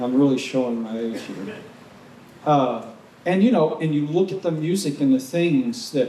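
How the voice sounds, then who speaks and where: Room echo and noticeable background noise surround a man with an American accent. His fairly high voice moves at a moderate pace with lively intonation. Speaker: intentional community member. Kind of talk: panel discussion. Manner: halting.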